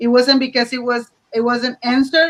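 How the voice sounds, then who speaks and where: Here a woman speaks with a Spanish accent at a high pitch. Her tone is bright and sharp, and her pace is moderate. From Mexico (Matamoros). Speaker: teacher. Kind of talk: online panel discussion.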